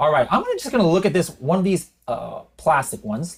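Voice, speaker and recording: This is a man speaking. His voice has vocal fry. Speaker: e-commerce software educator and podcast host. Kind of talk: screen-share tutorial. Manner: unscripted, occasional stutters; casual, conversational.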